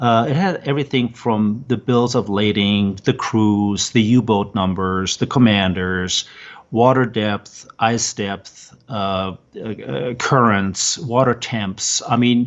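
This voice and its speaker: In a German accent, a man speaks at a very slow pace with ordinary pitch variation. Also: medium pitch for a man. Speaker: former researcher and military veteran. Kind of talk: interview. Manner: halting, many fillers.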